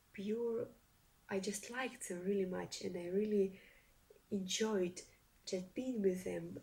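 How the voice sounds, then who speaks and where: A woman with a Russian accent speaks at a very slow pace in a somewhat breathy voice with a dark, mellow tone. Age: young. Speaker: reaction video youtuber. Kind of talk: casual commentary to camera. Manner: halting, many fillers and restarts.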